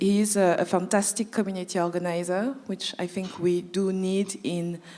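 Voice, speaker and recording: A woman with a slight French accent speaks at a fairly slow pace, her pitch medium and her intonation fairly even. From France (Paris). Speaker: anti-oppression management consultant. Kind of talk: panel talk, introductions.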